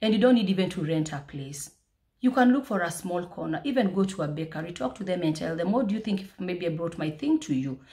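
Against a quiet background, a woman with a dark, mellow, somewhat breathy tone talks at a fairly quick pace with lively intonation. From Kenya, South Nyanza; Kenya. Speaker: food business owner and vlogger; vlogger. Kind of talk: motivational vlog. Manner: fast. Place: home room. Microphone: phone near.

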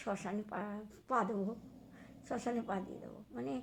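There is vocal fry in this woman's voice, with ordinary pitch variation. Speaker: vlogger. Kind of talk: casual vlog monologue. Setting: at home, wrapped in a blanket.

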